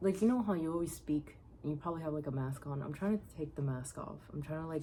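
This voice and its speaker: At a very fast pace, a woman with a very deep, low pitch speaks in a dark, mellow, somewhat breathy tone with ordinary pitch variation. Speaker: video diary vlogger. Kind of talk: casual monologue. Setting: outdoors on a porch. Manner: halting.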